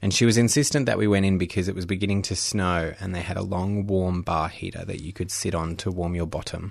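A man with an Australian accent speaks at a very fast pace. His pitch is very deep and low. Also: fairly even intonation, hardly any pauses. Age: 30s. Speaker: documentary filmmaker. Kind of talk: interview.

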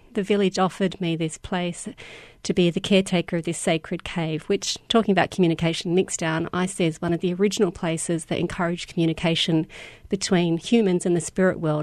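With an Australian accent, a woman rattles along at a very fast pace in a fairly low, monotone voice with flat intonation over a quiet background. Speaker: educational games designer. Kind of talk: interview.

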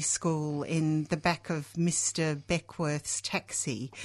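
A woman speaks with an Australian accent at a very slow pace. The background is quiet. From England, Hull (Yorkshire), raised in Australia from age six. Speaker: socialist activist. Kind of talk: radio interview. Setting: radio studio. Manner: halting, many fillers.

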